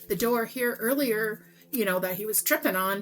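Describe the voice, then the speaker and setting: A woman's fairly high voice moves with lively intonation at a moderate pace, noticeable background noise behind her. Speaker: tarot reader and spiritual coach. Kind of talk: tarot reading. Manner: animated; stuttering at times.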